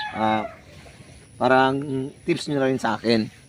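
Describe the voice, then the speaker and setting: Over noticeable background noise, a man talks fairly slowly at a medium pitch, his intonation fairly even. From Mindanao, Davao (Bisaya speaker). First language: Cebuano (Bisaya) (speaking Tagalog). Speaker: poultry vlogger. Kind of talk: tutorial. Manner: halting, with many fillers.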